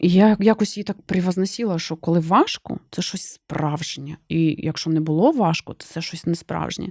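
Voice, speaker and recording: In a plain, everyday voice, a woman talks at a fairly low pitch and moderate pace with hardly any pauses, ordinary pitch variation and big swings in loudness, recorded dry and close with no echo on a very clean recording with a silent background. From Ukraine, Kherson. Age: 40s. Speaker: business vlogger. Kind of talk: personal monologue vlog. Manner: conversational.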